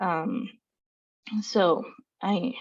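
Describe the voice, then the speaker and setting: A woman speaks with a Spanish accent. The background is quiet. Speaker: student affairs staff member, panelist. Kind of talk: panel discussion. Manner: hesitant, many fillers.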